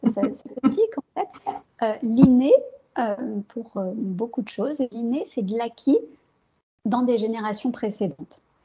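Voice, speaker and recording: A soft-spoken woman's voice, fairly high-pitched, with lively intonation, a dark, mellow tone and a fairly slow pace. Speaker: psychologist and neuroscience researcher. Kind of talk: interview. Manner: hesitant, many fillers.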